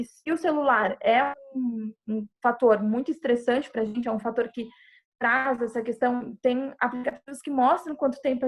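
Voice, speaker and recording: A woman's fairly high, normal speaking voice at a moderate pace, with ordinary pitch variation and a quiet background. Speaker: psychologist giving a talk. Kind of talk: online presentation with live chat.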